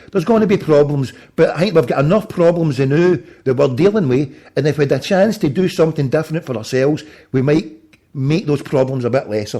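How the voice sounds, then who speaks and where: A man with a Glaswegian accent talks very fast at a fairly high pitch, his dark, mellow tone somewhat breathy and his intonation lively. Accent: Glaswegian Scottish. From Scotland, Glasgow. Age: 40s. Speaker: political campaign volunteer phoning voters. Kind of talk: persuasive phone conversation. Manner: animated.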